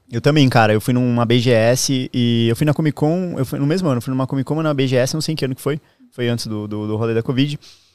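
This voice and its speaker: A man with an ordinary speaking voice, medium in pitch, at a fairly quick pace with ordinary pitch variation, the sound dry and close with no echo. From southern Brazil, Santa Catarina. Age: 30s. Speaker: streamer. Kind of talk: casual chat.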